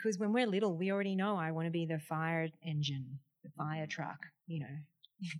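Speaking with an Australian accent, a woman has an animated tone, a fairly low pitch with ordinary pitch variation and a moderate pace. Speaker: podcast host, wellness presenter. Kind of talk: interview.

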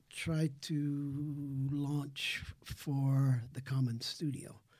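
A man talks at a fairly high pitch in a somewhat breathy voice. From Netherlands. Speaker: retired arts journalist and community radio host. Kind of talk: radio interview.

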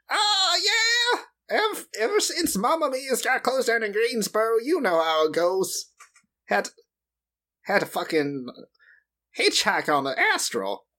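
A man's put-on character voice, extremely high in pitch, at a fairly slow pace with long, frequent pauses. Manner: casual, chummy, crude.

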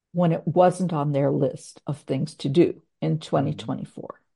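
Over a quiet background, a woman's voice has a dark, mellow tone with vocal fry. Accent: American. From Minnesota, US Midwest. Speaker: LinkedIn branding consultant. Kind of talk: interview. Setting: home office.

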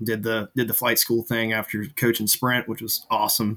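This man has a medium pitch and a bright, sharp tone with an American accent. His intonation stays fairly even. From US Midwest, Zanesville, Ohio. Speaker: naval flight officer. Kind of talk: casual chat.

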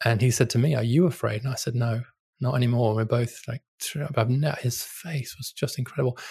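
A man's medium-pitched, somewhat breathy voice with a British accent, at a fairly quick pace with fairly even intonation against a quiet background. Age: 50s. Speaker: policy scholar and author. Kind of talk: interview.

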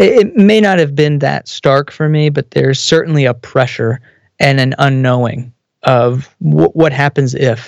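A man with an American accent, fairly high in pitch, in an unremarkable speaking voice, at a fairly slow pace with ordinary pitch variation, very even loudness and a dry, close sound with no echo. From Texas. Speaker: business consultant and theologian. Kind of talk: casual interview.

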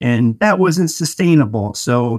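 A man with an American accent has a plain, everyday voice at medium pitch. He speaks at a fairly slow pace, and the sound is dry and close with no echo. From Denver, Colorado. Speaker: entrepreneur, painting company founder. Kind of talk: interview.

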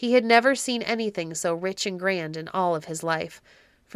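This is an unforced reading voice. The text is read in that manner.

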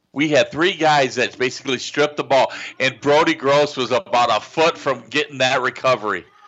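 A man talks at a fairly quick pace, with hardly any pauses. He has a normal speaking voice, fairly high in pitch, with fairly even intonation. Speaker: radio color analyst. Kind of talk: live radio sports commentary, color analysis. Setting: high school football stadium broadcast on radio. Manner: conversational, explanatory, a bit rambling.

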